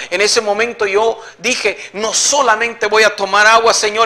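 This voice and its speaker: A man's raised, projected, high-pitched voice at a fairly slow pace. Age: 60s. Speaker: evangelical believer giving testimony. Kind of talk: religious testimony.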